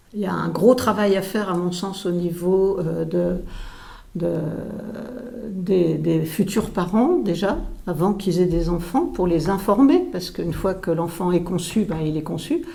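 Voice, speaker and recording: A woman speaks at a fairly low pitch and a fairly slow pace. Her pitch varies in an ordinary way, and audible room echo surrounds her voice. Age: 70s. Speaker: retired pulmonologist. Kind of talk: interview. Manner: halting, many hesitations.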